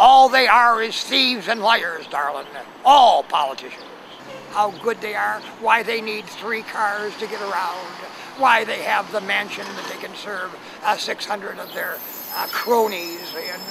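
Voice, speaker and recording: Against noticeable background noise, a man with a high pitch and lively intonation speaks at a fairly slow pace, his loudness swinging widely. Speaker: homeless man. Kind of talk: street interview. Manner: hesitant, many filler sounds.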